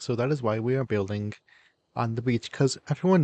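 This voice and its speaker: A man at medium pitch, ordinary pitch variation, dry close sound with no echo, quiet background. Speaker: gaming YouTuber. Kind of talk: casual gameplay commentary. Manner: animated.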